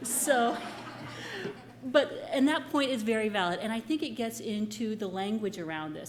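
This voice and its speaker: Moderate pace and fairly high pitch from a woman, plus audible room reverb. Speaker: professor. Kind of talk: conference presentation. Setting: conference room with audience. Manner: loud; animated.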